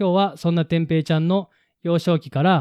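His voice sits fairly high. The man keeps a moderate pace. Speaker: podcast co-host. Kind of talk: casual chat.

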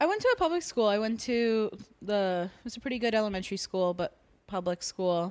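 Here is a woman with an American accent and a plain, everyday voice, pitched fairly high. She talks at a fairly quick pace with big swings in loudness, and the sound is dry and close with no echo. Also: lively intonation. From South Florida. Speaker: stand-up comedian. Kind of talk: casual chat.

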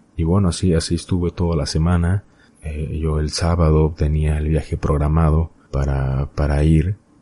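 This man's voice is very deep and low, with monotone, flat intonation. He keeps a moderate pace against noticeable background noise. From Mexico, Hidalgo. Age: 20s. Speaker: podcast host. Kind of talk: solo podcast monologue, personal storytelling. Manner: hesitant with fillers and repetitions.

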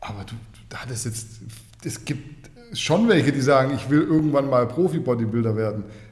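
Audible room echo surrounds a man who speaks at a moderate pace, with big swings in loudness and long, frequent pauses. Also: medium pitch for a man, ordinary pitch variation. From Swabia, Germany (Kornwestheim). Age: 30s. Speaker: fitness journalist. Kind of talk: casual chat.

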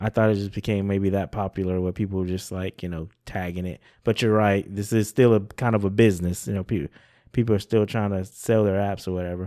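A man's ordinary speaking voice, fairly low-pitched and fairly quick, with ordinary pitch variation, in a dry, close sound with no echo over a silent background on a very clean recording. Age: 40s. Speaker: podcast host. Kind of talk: casual chat.

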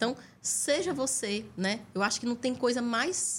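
Speaking with a Piauí accent, a woman uses a fairly high pitch and lively intonation. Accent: Northeastern Brazilian (Piauí) Portuguese. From Piauí, Brazil. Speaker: chef and nurse, cooking show finalist. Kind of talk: podcast interview.

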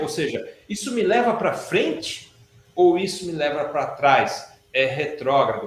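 Heard with audible room echo, a man talks at a moderate pace, his pitch swinging very widely. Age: 40s. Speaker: educator and teacher in a spiritual-science institute. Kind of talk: interview on a live stream. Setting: online live stream.

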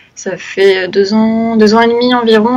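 A woman's fairly high, monotone, flat voice at a fairly slow pace, with noticeable background noise. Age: 20s. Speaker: freelance graphic designer and illustrator. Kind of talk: casual interview.

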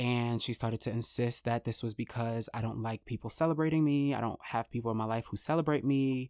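Someone with an American accent talks at a fairly quick pace on a very clean recording with a silent background. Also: hardly any pauses. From New York (Far Rockaway, Queens). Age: 30s. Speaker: podcast host, author and actor. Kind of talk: solo commentary podcast. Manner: casual, conversational with fillers.

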